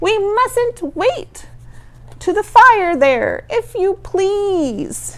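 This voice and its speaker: Extremely high-pitched and squeaky, a woman speaks in a put-on character voice at a very slow pace. Light background noise can be heard. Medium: read story.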